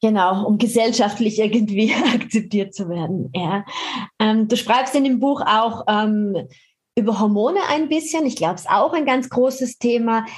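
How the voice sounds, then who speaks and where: A woman's somewhat breathy voice, fairly high in pitch with ordinary pitch variation, moves at a fairly slow pace. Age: 50s. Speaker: podcast host and fitness author. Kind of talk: casual interview.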